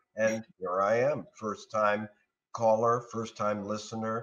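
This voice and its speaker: A man is speaking. His pace is fairly slow. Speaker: remote guest. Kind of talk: interview answer. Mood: cheerful, joking. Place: home room. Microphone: video call.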